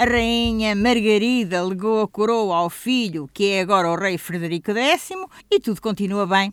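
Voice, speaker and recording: Noticeable background noise sits behind this woman. She talks at a moderate pace in a European Portuguese accent. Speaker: radio show moderator. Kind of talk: scripted introduction.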